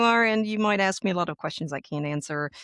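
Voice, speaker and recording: Pitch varies in an ordinary way against a quiet background, with a dry, close sound and no echo. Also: woman. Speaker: language and intercultural trainer. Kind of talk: interview.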